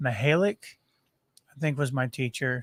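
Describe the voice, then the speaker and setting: A man with an American accent talks in a normal speaking voice at medium pitch, with ordinary pitch variation. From southern Missouri (Poplar Bluff). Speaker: podcast co-host. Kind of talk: casual chat. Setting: studio.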